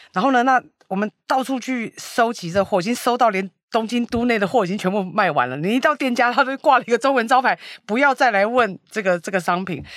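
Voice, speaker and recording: Talking at a very fast pace, a woman with a fairly high pitch and lively intonation is heard on a very clean recording with a silent background. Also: dry, close sound with no echo. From Taiwan. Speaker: e-commerce founder. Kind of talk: interview.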